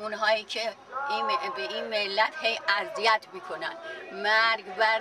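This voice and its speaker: Amid crowd noise, a woman speaks very slowly in a fairly high voice with very wide pitch swings. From Iran. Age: 80s+. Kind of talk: interview answer. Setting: outdoors.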